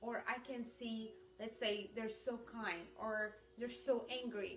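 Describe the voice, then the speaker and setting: Amid noticeable background noise and audible room echo, a woman with a fairly high pitch speaks at a very slow pace with fairly even intonation. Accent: non-native. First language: not English. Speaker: ministry teacher. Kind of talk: instructional talk.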